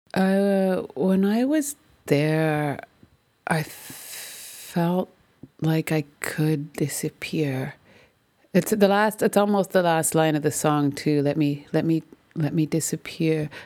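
Her pace is very slow. The woman's voice is very deep and low, with a dark, mellow tone. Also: ordinary pitch variation. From Canada. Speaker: musician. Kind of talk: interview. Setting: remote call. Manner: halting.

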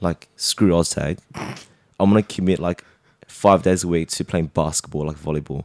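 In an Australian accent, a man speaks at a moderate pace with a very deep, low pitch. His intonation is fairly even, and the sound is dry and close with no echo. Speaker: amateur Oz Tag player. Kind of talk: casual chat.

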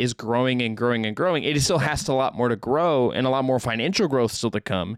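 A man talks at a fairly quick pace in a plain, everyday voice at medium pitch with ordinary pitch variation. The recording is very clean, with a silent background and a dry, close sound with no echo. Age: young. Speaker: basketball podcast co-host. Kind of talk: casual chat.

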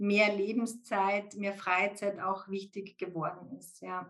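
Background music accompanies the clip. A woman talks extremely slowly over it. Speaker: IT executive recruiter and podcast guest. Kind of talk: casual interview.

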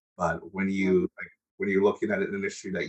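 With an American accent, a man in an ordinary speaking voice talks at a moderate pace, his fairly low pitch held in fairly even intonation. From United States. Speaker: podcast host. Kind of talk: interview.

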